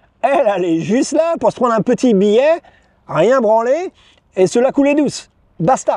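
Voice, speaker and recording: The sound is dry and close with no echo. A man speaks at an extremely high pitch with very wide pitch swings. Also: long, frequent pauses. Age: 40s. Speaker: YouTuber, expat vlogger. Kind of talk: casual video monologue. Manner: casual, many hesitations (euh).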